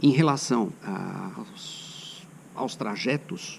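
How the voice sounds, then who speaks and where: A man's voice with very wide pitch swings. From São Paulo state, Brazil. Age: 60s. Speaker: cycling vlogger. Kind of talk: casual travel vlog talk.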